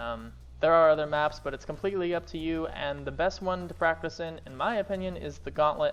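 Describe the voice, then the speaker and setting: Music plays in the background while someone talks at a fairly quick pace. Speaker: gaming streamer. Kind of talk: tutorial. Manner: fast; free-flowing, unscripted.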